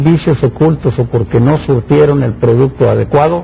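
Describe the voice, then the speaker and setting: Noticeable background noise surrounds this man's voice. He has a fairly high pitch with ordinary pitch variation. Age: 60s. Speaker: engineer and public official. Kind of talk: interview. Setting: studio.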